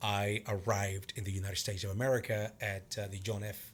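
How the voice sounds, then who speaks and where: A man's fairly low voice with a Venezuelan accent and a bright, sharp tone, on a very clean recording with a silent background. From Venezuela, Cumaná. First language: Spanish. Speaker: martial arts instructor and actor. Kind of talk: casual interview chat.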